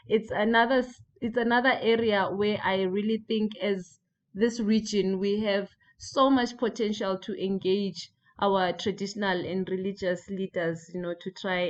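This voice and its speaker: In a normal speaking voice, a woman speaks at a fairly slow pace with medium pitch and fairly even intonation. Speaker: breakout group facilitator. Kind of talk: panel discussion moderation.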